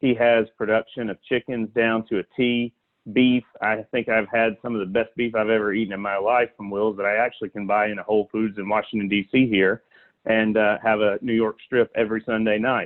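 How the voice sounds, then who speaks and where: The speaker has a Southern US accent and a fairly quick pace. The intonation is monotone and flat. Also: man, fairly low pitch for a man. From US South, south Alabama. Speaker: animal welfare advocate. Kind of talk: podcast interview.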